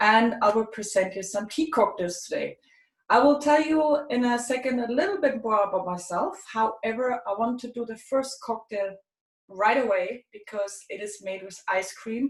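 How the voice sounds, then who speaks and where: Using a German accent, a woman with a fairly high pitch speaks with big swings in loudness. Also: ordinary pitch variation, moderate pace. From Germany. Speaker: tea expert presenter. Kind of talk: tutorial.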